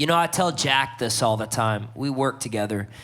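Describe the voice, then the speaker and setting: A man at a moderate pace, with audible room echo. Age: 20s. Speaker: songwriter, judge on a talent panel. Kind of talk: live panel feedback to an artist. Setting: stage with live audience.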